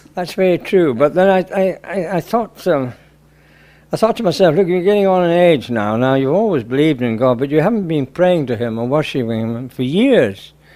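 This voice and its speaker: A man with a fairly high pitch and very wide pitch swings, at a moderate pace. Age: 80s+. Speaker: convert to Islam who completed hajj. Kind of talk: interview answer.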